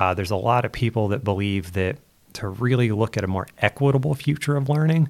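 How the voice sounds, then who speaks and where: In a very clean recording with a silent background, a man talks at a very fast pace with medium pitch and ordinary pitch variation. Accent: American. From southeastern Pennsylvania, US. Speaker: education futurist. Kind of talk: interview.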